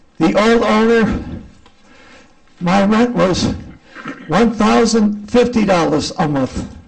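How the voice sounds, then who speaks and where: Amid audible room echo and noticeable background noise, a high-pitched man speaks at a very slow pace with long, frequent pauses, very even loudness and ordinary pitch variation. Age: 70s. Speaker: tenant. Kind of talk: public hearing testimony.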